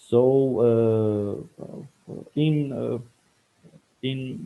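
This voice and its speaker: A man's medium-pitched voice, dark and mellow in tone, with a non-native accent. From Iran. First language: Farsi. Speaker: scientist. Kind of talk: interview. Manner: halting, many fillers.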